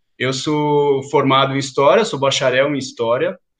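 A man talks in an ordinary speaking voice, fairly high in pitch, at a moderate pace. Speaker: museum educator. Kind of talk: interview.

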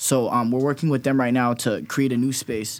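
With an American accent, a man uses an ordinary speaking voice at medium pitch with fairly even intonation. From California. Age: 20s. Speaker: dancer and dance company leader. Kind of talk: casual interview chat.

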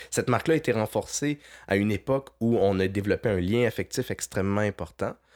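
With a Quebec accent and ordinary pitch variation, the speaker goes at a moderate pace in a dry, close sound with no echo, on a very clean recording with a silent background. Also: man. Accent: Québécois French. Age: 30s. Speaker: freelance video producer. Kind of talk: casual interview.

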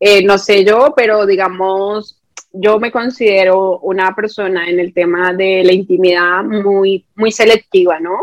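A woman speaks at a fairly slow pace with hardly any pauses and fairly even intonation. The sound is dry and close, with no echo. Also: medium pitch for a woman. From Colombia, Bogotá. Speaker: YouTube content creator. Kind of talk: casual interview.

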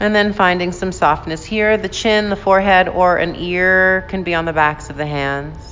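A woman speaks in a normal speaking voice, fairly low in pitch, with fairly even intonation. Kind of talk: guided yoga class with calming meditation-style cueing. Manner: slow, soft, soothing and unhurried, with gentle pauses; calm, instructive, gently encouraging.

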